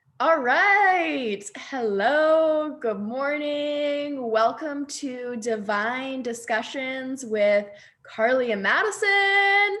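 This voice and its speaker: A woman with a high pitch and a bright, sharp tone speaks at a very slow pace with hardly any pauses. Her pitch swings very widely, and there is audible room echo. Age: 20s. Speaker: podcast co-host, network marketer. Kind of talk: casual chat. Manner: animated.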